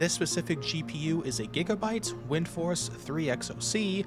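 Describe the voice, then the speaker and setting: A man speaks over music playing in the background. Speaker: tech reviewer. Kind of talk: tech review voice-over.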